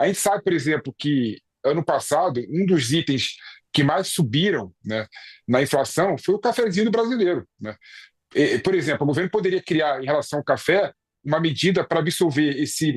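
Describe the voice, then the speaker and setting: A man's fairly high voice in a Rio de Janeiro accent, moderate in pace with lively intonation, in a dry, close sound with no echo. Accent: carioca accent, noticeable. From Rio de Janeiro, Brazil. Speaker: political commentator. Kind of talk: news discussion. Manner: hesitant, many fillers.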